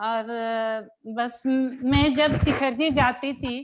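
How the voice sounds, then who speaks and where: A woman talks with fairly even intonation. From Delhi, India. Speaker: student, housewife. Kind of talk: self-introduction in online class.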